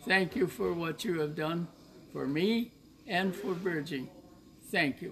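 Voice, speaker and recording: Noticeable background noise sits behind a man with a high voice and ordinary pitch variation. He talks very slowly, with long, frequent pauses. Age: 80s+. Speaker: nonprofit founder. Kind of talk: heartfelt thank-you message.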